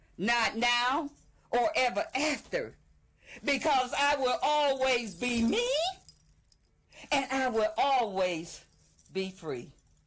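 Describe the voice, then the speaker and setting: A woman speaks very slowly in a high voice with lively intonation, very even loudness, and long, frequent pauses over noticeable background noise. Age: 70s. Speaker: spoken word poet. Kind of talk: poetry reading.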